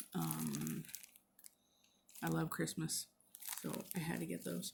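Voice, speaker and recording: A soft-spoken woman is talking. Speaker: craft vlogger. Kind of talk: casual chat. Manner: halting.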